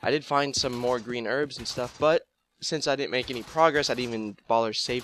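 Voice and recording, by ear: Reading aloud in a natural voice, with ordinary pitch variation, against a quiet background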